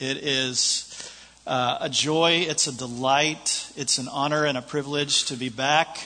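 A man with an American accent speaks fairly slowly at a fairly high pitch. His intonation is flat and monotone, and there is noticeable background noise. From United States. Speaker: visiting preacher. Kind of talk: sermon. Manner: halting, many fillers.

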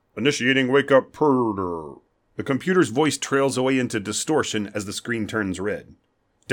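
Over a quiet background comes a natural reading voice.

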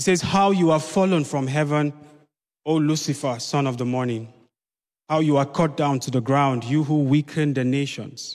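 A man with an unremarkable speaking voice talks at a moderate pace, fairly high in pitch with fairly even intonation. The recording is very clean, with a silent background. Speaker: preacher. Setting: church. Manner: paced in short phrases with pauses for the interpreter.

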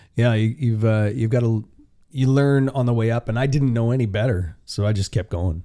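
In a western Canadian accent, a man with a dark, mellow tone and fairly low pitch speaks at a moderate pace with ordinary pitch variation, on a very clean recording with a silent background. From Canada, Vancouver area (B.C.). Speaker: country singer. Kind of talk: casual interview. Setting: private room in a steakhouse.

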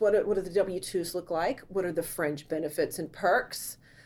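The recording is very clean with a silent background. A woman talks in a dark, mellow tone with an American accent. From US South. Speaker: business valuator. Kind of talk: interview.

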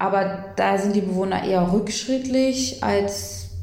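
A woman's voice comes through with audible room echo. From Saxony-Anhalt, Germany (Eisleben). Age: 20s. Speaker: social worker. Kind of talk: casual interview. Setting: in person at host's home in Berlin.

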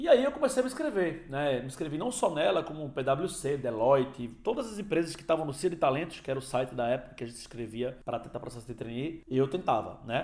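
A man talks at a fairly quick pace, his pitch swinging very widely. Noticeable background noise runs behind him. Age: 30s. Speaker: podcast host. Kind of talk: casual monologue. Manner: casual.

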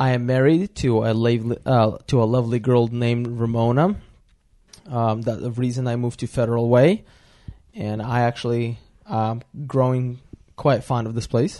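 With a Russian accent, a man speaks in a dark, mellow tone. His intonation is fairly even. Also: medium pitch for a man, moderate pace. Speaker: podcast co-host. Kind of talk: casual chat.

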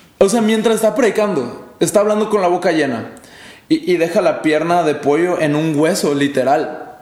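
A man speaks at a moderate pace in an animated tone with lively intonation. Audible room echo and noticeable background noise fill the recording. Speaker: youth pastor. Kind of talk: casual chat.

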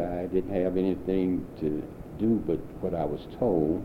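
A man speaks at a fairly slow pace with a very deep, low pitch, and audible room echo surrounds his voice. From St. Louis, Missouri. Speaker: war veteran. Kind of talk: 1990s oral history interview, elderly veteran recounting wartime life story. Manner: plain reflective storytelling.

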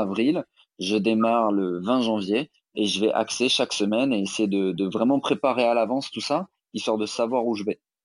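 In a quiet background, a man talks at a fairly slow pace with a fairly low pitch and ordinary pitch variation. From Alsace, France (Strasbourg). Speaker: fitness coach and yoga teacher. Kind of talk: interview. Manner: hesitant, many fillers.

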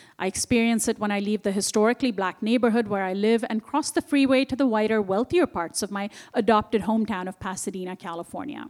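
A woman with an Indian accent speaks very fast at a fairly high pitch, with hardly any pauses. Her pitch varies in an ordinary way, and the sound is dry and close with no echo. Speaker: author and journalist. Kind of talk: book talk interview. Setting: stage with audience.

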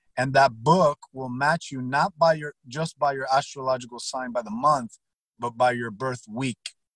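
A man with a plain, everyday voice at a medium pitch, ordinary pitch variation, and a dry, close sound with no echo. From born in Cuba, raised in Texas and Miami. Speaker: sales consultant and former prisoner. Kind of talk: interview conversation. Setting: call.

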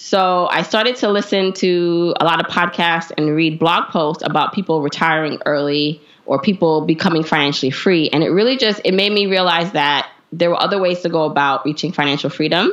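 A woman with an American accent speaks at a fairly quick pace with hardly any pauses, her fairly low voice showing ordinary pitch variation, very even loudness and an unremarkable speaking voice. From US Northeast, Brooklyn, New York. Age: 30s. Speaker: personal finance blogger and podcaster. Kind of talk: interview.

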